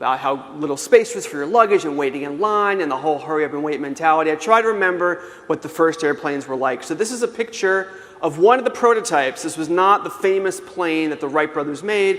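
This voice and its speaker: Noticeable background noise surrounds a high-pitched man with an American accent. He speaks very fast with ordinary pitch variation. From New York City. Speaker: author and keynote speaker. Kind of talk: keynote talk. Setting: conference stage with audience.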